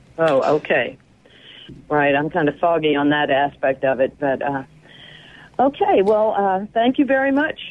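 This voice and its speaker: A woman with a fairly low pitch talks at a moderate pace with very wide pitch swings, very even loudness, and long, frequent pauses against noticeable background noise. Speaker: caller. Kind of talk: call-in question. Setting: phone call.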